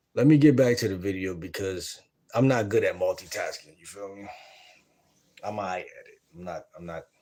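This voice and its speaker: A moderate-paced man's voice, loudness swinging widely, with long, frequent pauses. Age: 20s. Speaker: dating advice streamer. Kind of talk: live stream reaction commentary. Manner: casual, conversational.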